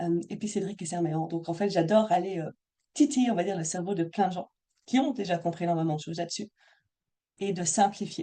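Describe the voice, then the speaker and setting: A woman with a slight Belgian accent speaks at a fairly quick pace with long, frequent pauses, a dark, mellow tone, fairly low pitch and ordinary pitch variation. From Belgium. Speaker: money mindset coach. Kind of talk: live Zoom workshop talk. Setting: video call. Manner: not always clearly articulated.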